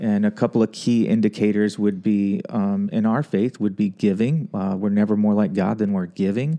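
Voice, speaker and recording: A man with a dark, mellow tone and fairly low pitch talks at a moderate pace with hardly any pauses. His intonation is fairly even, his loudness very even, and the background quiet. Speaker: church guest speaker. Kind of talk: casual chat.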